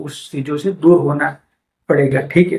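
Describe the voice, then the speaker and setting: The speaker is a man. His intonation shows ordinary pitch variation. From India, Gujarat (Bhavnagar district). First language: Gujarati (speaking Hindi). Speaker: book summary YouTuber. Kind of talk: book summary talk to camera. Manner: casual, frequent fillers and self-corrections.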